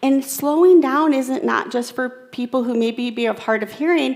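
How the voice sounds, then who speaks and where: An unremarkable speaking voice, a woman at a fairly slow pace with lively intonation. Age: 40s. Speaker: keynote speaker. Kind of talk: keynote talk with audience interaction. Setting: stage with audience. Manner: conversational.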